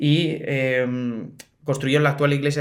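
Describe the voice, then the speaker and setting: Room echo is audible as a man speaks at a medium pitch. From Spain, Madrid. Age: 20s. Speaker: bell ringer, association president. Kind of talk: casual interview chat. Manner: animated.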